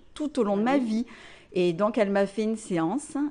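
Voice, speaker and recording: Against a quiet background, a woman speaks at a moderate pace in an unremarkable speaking voice with lively intonation. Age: 20s. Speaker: therapist. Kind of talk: casual interview testimony.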